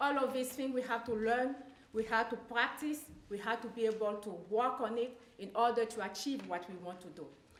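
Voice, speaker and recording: In a strong French accent, a woman with a fairly high pitch and ordinary pitch variation speaks at a moderate pace, with big swings in loudness and audible room echo. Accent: heavy French. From Ivory Coast. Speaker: public speaking student. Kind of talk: class presentation.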